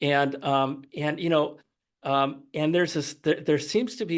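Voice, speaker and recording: Fairly high pitch from a man with a plain, everyday voice, moving at a moderate pace over a quiet background. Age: 60s. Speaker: retired author, book guest. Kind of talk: podcast interview.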